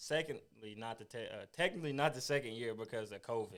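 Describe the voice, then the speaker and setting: Here a man with an American accent uses an ordinary speaking voice at a medium pitch, talking at a fairly quick pace with ordinary pitch variation. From US Midwest (southeast Missouri). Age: 20s. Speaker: college football player. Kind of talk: interview. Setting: podcast.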